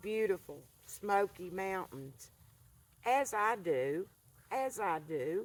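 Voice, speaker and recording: Lively intonation marks a woman speaking with an Appalachian accent. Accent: Southern Appalachian US. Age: 70s. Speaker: vlogger. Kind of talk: casual monologue to camera. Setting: outdoors by a fire pit.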